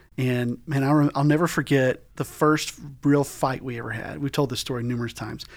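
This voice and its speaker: A man with an unremarkable speaking voice and a medium pitch talks at a fairly quick pace. His intonation stays fairly even. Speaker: podcast host. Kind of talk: casual chat. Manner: informal, jokey.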